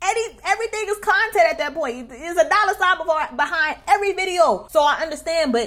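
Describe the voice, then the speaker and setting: A woman with a New York accent speaks at a moderate pace against noticeable background noise. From New York City, Queens. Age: 20s. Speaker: YouTuber. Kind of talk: storytime. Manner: casual slangy.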